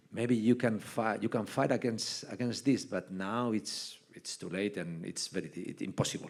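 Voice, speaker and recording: Speaking at a moderate pace with hardly any pauses, the voice carries a Spanish accent and ordinary pitch variation. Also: man, fairly low pitch for a man. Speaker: basketball head coach. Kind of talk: on-stage interview. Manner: halting.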